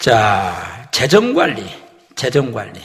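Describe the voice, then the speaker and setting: A man speaks at a fairly high pitch with very wide pitch swings. Audible room echo surrounds his voice. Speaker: pastor giving a lecture to pastors. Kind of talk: lecture. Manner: fast.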